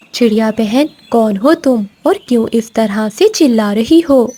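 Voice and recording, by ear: This woman uses a cartoonish character voice, pitched fairly high, at a moderate pace. Her loudness stays very even.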